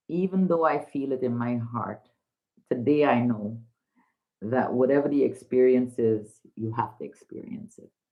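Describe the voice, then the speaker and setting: A woman with a very deep, low voice speaks at a moderate pace, showing ordinary pitch variation and big swings in loudness. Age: 60s. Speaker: livestream host, mother. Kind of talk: casual live chat. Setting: livestream. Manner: animated.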